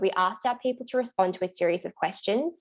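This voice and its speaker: Speaking very fast with an Australian accent, a woman uses a medium pitch, ordinary pitch variation and a dark, mellow tone against a quiet background. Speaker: workplace wellbeing officer. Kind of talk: panel presentation.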